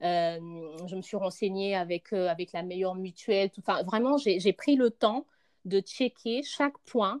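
A woman at a fairly slow pace and medium pitch, with ordinary pitch variation, in a dry, close sound with no echo. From Congo. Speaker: mother, podcast guest. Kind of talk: casual chat.

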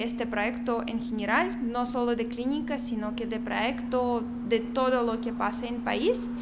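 Against noticeable background noise and audible room echo, a woman with a high pitch speaks in a flat monotone at a fairly slow pace. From Belarus. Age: 20s. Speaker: doctor. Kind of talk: interview.

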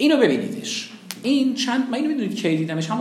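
A man talks at a fairly quick pace in an animated tone with lively intonation, and there is noticeable background noise. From Iran, raised in several cities. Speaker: public speaking teacher. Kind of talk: lecture. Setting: classroom with students.

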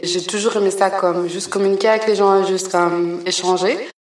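A woman's fairly quick, medium-pitched, flat monotone voice, with audible room echo. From Belgium, raised partly in Congo. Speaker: artist. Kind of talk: interview. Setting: art gallery.

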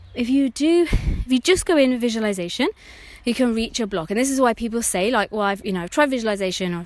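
The speaker has a British accent and talks at a very fast pace. The intonation is lively and the loudness swings widely. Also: woman. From UK. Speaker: therapist and podcast host. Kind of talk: podcast monologue.

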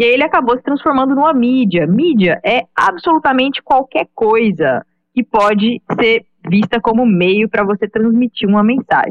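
A woman's plain, everyday voice, fairly high-pitched with lively intonation, at a moderate pace and very even loudness. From Brazil, Goiânia (Goiás). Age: 20s. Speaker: digital marketing professional. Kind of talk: casual podcast discussion.

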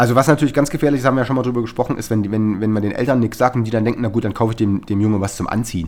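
A man at a medium pitch, talking at a very fast pace with hardly any pauses and ordinary pitch variation. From Saxony, Erzgebirge region. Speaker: podcast co-host. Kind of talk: casual chat.

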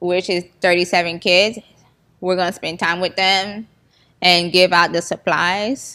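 In a Haitian-American Florida accent, a woman talks at a fairly slow pace with a fairly low pitch and a bright, sharp tone. Her intonation is monotone and flat, on a very clean recording with a silent background. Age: 20s. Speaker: comedy video maker and nonprofit founder. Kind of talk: interview.

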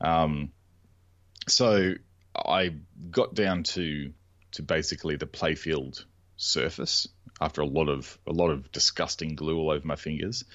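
A man's very deep, low voice with an Australian accent and vocal fry, fairly slow with long, frequent pauses and ordinary pitch variation. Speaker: podcast co-host, pinball restorer. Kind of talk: casual chat.

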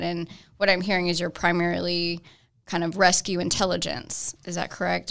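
In a plain, everyday voice, a woman talks at a medium pitch and a fairly quick pace. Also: very clean recording, silent background. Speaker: podcast co-host. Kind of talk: casual interview conversation. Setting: studio.

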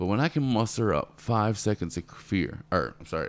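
A man's very deep, low voice with vocal fry, moderate pace, very clean recording and silent background. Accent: American. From Florida. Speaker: tree service business owner. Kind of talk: casual interview.

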